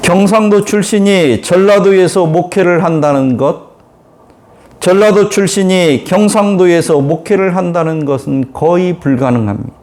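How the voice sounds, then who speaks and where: A high-pitched man at a fairly slow pace, with very even loudness and ordinary pitch variation, against noticeable background noise. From Korea, Chungcheong-Jeolla border. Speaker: pastor. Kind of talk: sermon.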